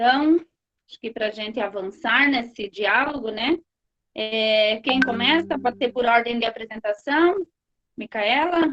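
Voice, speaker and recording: Using an ordinary speaking voice, a woman talks at a fairly slow pace in a fairly high pitch with ordinary pitch variation. Her loudness swings widely, and the sound is dry and close with no echo. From rural Brazil. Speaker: moderator of online course panel. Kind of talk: online panel moderation.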